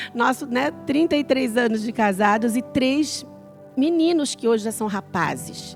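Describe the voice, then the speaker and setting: Music plays in the background as a woman speaks at a high pitch. She talks very slowly, with lively intonation. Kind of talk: casual, conversational.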